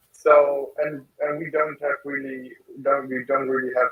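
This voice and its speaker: At a fairly slow pace, a man talks in a fairly high pitch. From Germany. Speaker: youth panelist. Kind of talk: panel discussion. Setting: in a car, video call.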